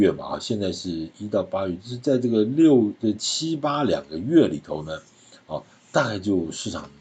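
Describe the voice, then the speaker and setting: A man speaks at a medium pitch with very wide pitch swings. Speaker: real estate podcast host. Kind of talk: solo podcast commentary. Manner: chatty, conversational with filler particles.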